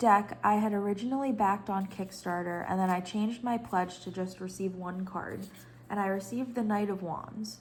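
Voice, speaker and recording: Somewhat breathy delivery with fairly even intonation and audible room echo. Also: woman. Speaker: tarot reader and video creator. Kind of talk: casual show-and-tell vlog.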